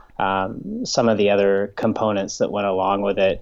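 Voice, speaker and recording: A man speaks in an American accent. His intonation is monotone and flat. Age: 30s. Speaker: professional triathlete. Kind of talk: interview.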